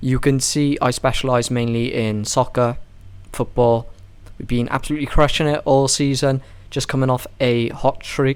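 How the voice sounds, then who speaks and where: A man speaks with a British accent at a medium pitch. His intonation is monotone and flat, at a moderate pace. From UK. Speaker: sports betting tipster. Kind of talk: casual betting analysis monologue.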